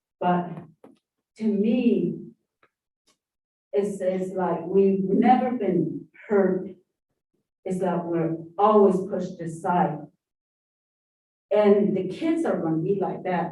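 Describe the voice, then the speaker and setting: The speaker talks in an American accent at a very slow pace. Long, frequent pauses break up the speech. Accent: Navajo English. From southeastern Utah, Navajo Nation area. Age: 60s. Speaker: public commenter. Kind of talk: public hearing testimony. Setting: public hearing room.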